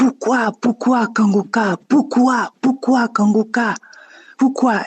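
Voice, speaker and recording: Music plays in the background as a man puts on a gruff character voice with an extremely high pitch. He talks at a very slow pace with fairly even intonation. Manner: pleading, questioning.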